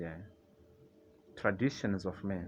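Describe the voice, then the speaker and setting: A man speaks at a moderate pace with a non-native accent. His pitch is very deep and low. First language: not English. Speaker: religious video commentator. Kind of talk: casual monologue on religion. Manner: halting, with fillers and restarts.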